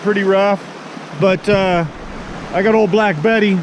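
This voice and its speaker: Noticeable background noise runs under a man's high-pitched voice. He speaks at a moderate pace with fairly even intonation. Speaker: outdoor vlogger. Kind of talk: casual vlog narration. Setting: outdoors.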